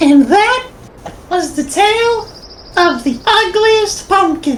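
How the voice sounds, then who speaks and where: A woman with an extremely high pitch speaks fairly slowly with very wide pitch swings over clear background noise. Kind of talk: parody storybook narration. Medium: machinima. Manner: deadpan, mock-dramatic.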